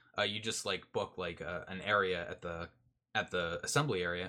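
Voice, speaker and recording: This voice has a bright, sharp tone and a Canadian accent and moves at a fairly quick pace. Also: man, very clean recording, silent background. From Canada. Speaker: security podcast host. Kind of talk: casual technical discussion.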